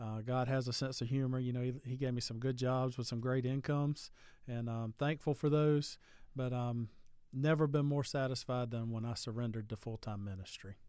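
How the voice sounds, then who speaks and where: A medium-pitched man with a Southern US accent, at a moderate pace with fairly even intonation, on a very clean recording with a silent background. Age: 30s. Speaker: youth pastor. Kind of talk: casual chat.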